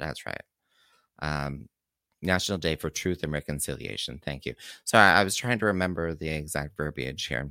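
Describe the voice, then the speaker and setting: A bright, sharp tone with vocal fry and ordinary pitch variation, in a Canadian accent, on a very clean recording with a silent background and a dry, close sound with no echo. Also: man, very deep, low pitch for a man, moderate pace. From Kingston, Ontario, Canada. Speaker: community radio host and drag performer. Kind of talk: radio DJ patter, campy live show host chat with pet names. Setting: live radio studio broadcast. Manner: animated, camp, playful and flirtatious; chatty and rambling, laughs often, filler words.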